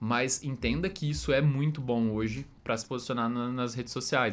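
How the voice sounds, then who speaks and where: A man speaks at a fairly quick pace. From Ribeirão Preto, São Paulo interior, Brazil; São Paulo, Brazil. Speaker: marketing specialist; guest. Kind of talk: casual interview. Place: studio. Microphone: studio mic.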